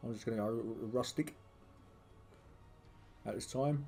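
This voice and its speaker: A man talks at a medium pitch with music in the background. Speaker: gameplay commentator. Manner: casual, hesitant with fillers.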